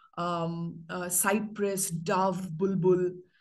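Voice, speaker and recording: A woman speaking at a very slow pace over a quiet background. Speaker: university English lecturer and poet. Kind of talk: workshop lecture with slides. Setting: video call. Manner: halting, filler-heavy. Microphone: video call.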